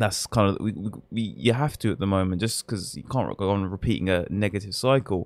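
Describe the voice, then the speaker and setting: Speaking at a fairly quick pace with an English accent, a man with a fairly low voice uses ordinary pitch variation. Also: very clean recording, silent background. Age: 20s. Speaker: football podcast co-host. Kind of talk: casual chat.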